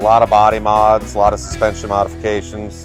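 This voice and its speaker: Music sits in the background while a man speaks. His pitch is fairly low and his pace moderate. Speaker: custom car builder. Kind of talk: interview answer.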